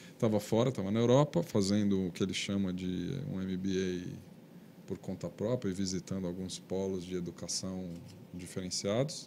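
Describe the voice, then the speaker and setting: Over light background noise, a man with a very deep, low pitch and a dark, mellow tone speaks at a moderate pace with fairly even intonation. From Brazil. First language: Portuguese (speaking Spanish). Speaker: webcast host. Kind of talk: live webcast interview. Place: studio. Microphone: studio mic.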